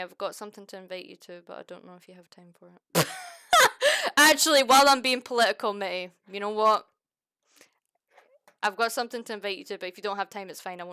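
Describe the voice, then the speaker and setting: A woman talks at a very fast pace yet leaves long, frequent pauses. Her tone is bright and sharp, her pitch variation is ordinary, and her loudness swings a lot. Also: medium pitch for a woman. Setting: online stream chat. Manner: friendly, casual.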